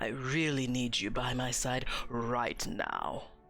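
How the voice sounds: Doing a put-on character voice, a man speaks raspily at a medium pitch and a fairly slow pace, with audible echo and music in the background.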